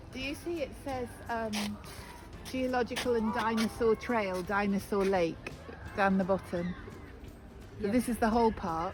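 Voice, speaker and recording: A woman with a British accent and a fairly high voice, ordinary pitch variation, a fairly slow pace and long, frequent pauses. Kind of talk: tour guide talk. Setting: outdoors. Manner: passionate, spontaneous.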